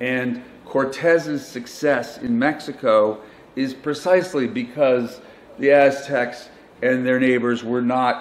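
This man talks at a fairly slow pace. His pitch varies in an ordinary way. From United States. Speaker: journalist and author; journalist. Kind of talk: conference talk. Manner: halting. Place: hall. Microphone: handheld.

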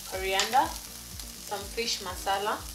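There is loud background noise. Over it, a woman speaks. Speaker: channel host. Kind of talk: cooking tutorial. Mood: cheerful, relaxed. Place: kitchen. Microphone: camera far.

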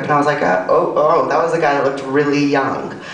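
At a fairly quick pace, someone talks in an American accent, with audible room echo. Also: woman. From US South. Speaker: comedian. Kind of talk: stand-up comedy, self-deprecating confessional bits. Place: stage.

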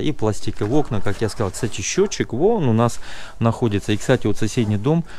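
A man speaks at a fairly quick pace over light background noise. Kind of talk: property walkthrough commentary. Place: garden. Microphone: phone near.

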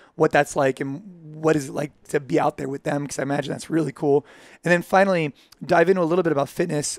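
At a very fast pace, a man speaks with fairly even intonation, a dry sound with no echo and a quiet background. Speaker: podcast host. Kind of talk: interview question. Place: home room. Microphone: headset.

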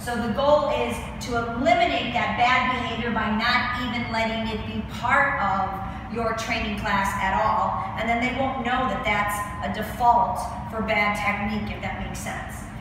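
Woman at a moderate pace with ordinary pitch variation, strong room echo and noticeable background noise. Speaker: fitness instructor. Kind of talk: tutorial. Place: gym.

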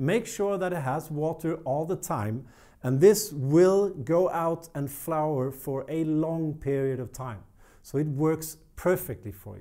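Against a quiet background, a man with a Swedish accent speaks at a fairly slow pace in a fairly high voice, his tone dark and mellow and his pitch variation ordinary. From Sweden. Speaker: plant care youtuber. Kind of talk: tutorial. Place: studio. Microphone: lapel.

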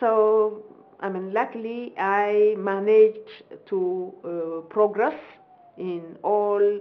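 A woman with a medium-pitched voice speaks with an Ethiopian accent. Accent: Ethiopian English, moderate. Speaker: professor and government minister. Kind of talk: formal interview. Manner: formal, measured. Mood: proud, reflective. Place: home room.

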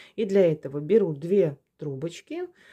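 A woman speaks calmly at a very slow pace, her fairly low voice dark and mellow in tone. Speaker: craft video host, paper basket weaving teacher. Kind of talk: tutorial. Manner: calm, unhurried.

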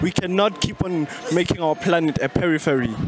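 Over noticeable background noise, a man speaks with ordinary pitch variation in a dry sound with no echo. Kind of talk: interview answer. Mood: earnest, passionate. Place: street. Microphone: handheld.

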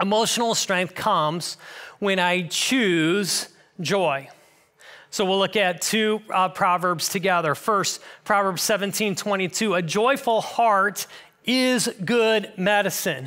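Slowly, very slowly, a man speaks in a raised, projected voice. His tone is bright and sharp, with ordinary pitch variation. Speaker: pastor. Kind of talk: sermon. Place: church. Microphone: headset.

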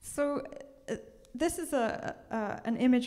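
A woman speaks with an English accent against a quiet background. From England. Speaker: museum curator. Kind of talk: presentation and interview. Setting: stage with audience. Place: hall.

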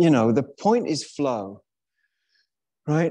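The background is quiet. A man talks at a moderate pace in a dark, mellow tone. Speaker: yoga teacher. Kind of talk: class instruction. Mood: relaxed, playful. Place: hall.

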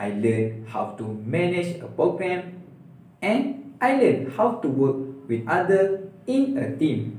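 A man with a Malaysian accent, fairly high pitch and very wide pitch swings, at a very slow pace, with audible room echo. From Malaysia, Perak. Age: 20s. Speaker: university student. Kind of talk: video resume. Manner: formal. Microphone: phone near.

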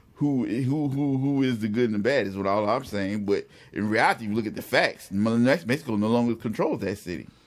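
Here is a man with an unremarkable speaking voice, medium in pitch and ordinary in pitch variation, going at a fairly quick pace with hardly any pauses. The recording is very clean, the background silent. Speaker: podcast co-host. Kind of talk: casual chat.

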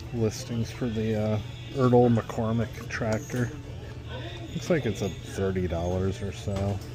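A man talks at a moderate pace with ordinary pitch variation. The sound is dry with no echo, and clear music plays in the background. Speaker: eBay reseller thrifting. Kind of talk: casual vlog chat. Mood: excited about finds. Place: shop. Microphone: phone near.

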